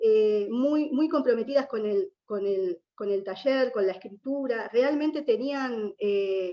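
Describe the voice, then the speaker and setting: A woman with an Argentine accent speaks fairly slowly in a dark, mellow tone, her fairly high pitch showing ordinary variation. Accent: Argentine Spanish (Rioplatense). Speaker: writer, former prisoner. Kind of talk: panel talk. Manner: halting, with repetitions.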